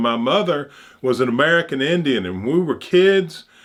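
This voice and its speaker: A man with an Alabama accent speaks with very wide pitch swings. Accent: Southern US (Alabama). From US South, Opelika, Alabama. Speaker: channel host, commentator. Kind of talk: personal monologue. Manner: halting.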